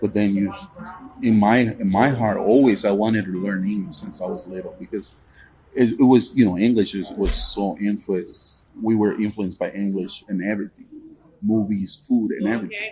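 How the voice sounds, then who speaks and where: Here a man with a Spanish accent speaks at a moderate pace. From Guatemala. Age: 50s. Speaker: truck owner-operator. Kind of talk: interview. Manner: halting.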